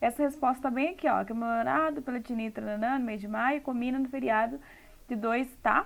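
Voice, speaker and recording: This woman speaks in a high voice at a moderate pace. Her pitch shows ordinary variation. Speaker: English teacher. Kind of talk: tutorial.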